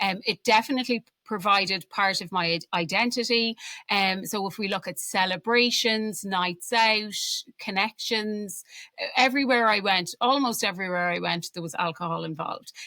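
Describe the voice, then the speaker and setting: A woman's medium-pitched voice with a bright, sharp tone at a moderate pace, dry and close with no echo, in a very clean recording with a silent background. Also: ordinary pitch variation. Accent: Irish. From Ireland. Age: 40s. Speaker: alcohol-free coach. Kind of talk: podcast interview.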